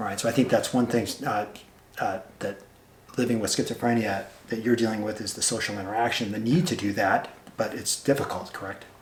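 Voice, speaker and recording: A man's medium-pitched voice runs at a fairly quick clip, its intonation fairly even, while noticeable background noise carries on. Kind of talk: interviewer questions.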